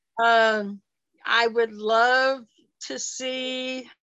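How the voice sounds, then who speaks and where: Bright and sharp in tone, a woman speaks with an American accent. Her pitch is fairly high, with ordinary variation. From Kansas. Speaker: wrestling superfan. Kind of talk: casual interview. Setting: video call.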